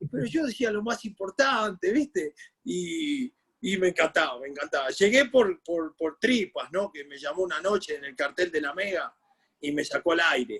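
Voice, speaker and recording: Recorded dry and close with no echo, a man in a Rioplatense accent talks at a moderate pace in a high pitch, with very wide pitch swings and big swings in loudness. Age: 60s. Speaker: sports journalist and former football coach. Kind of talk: interview. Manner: animated.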